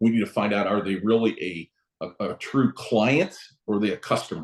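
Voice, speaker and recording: Speaking with an American accent at a moderate pace, a man uses a normal speaking voice with a fairly low pitch and ordinary pitch variation. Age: 60s. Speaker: real estate broker. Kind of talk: interview. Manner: casual, conversational.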